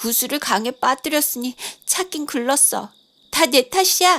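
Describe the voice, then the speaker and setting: In a put-on character voice, a woman pitches her speech high. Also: moderate pace. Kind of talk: bedtime story. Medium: read story.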